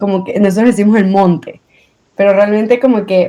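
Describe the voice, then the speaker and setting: A woman speaks with fairly even intonation. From Venezuela. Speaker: guest, accident survivor. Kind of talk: interview podcast.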